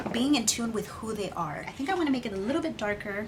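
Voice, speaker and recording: A woman speaks at a fairly high pitch. There is audible room echo and noticeable background noise. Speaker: beauty vlogger. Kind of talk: makeup tutorial with casual chat. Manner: fast.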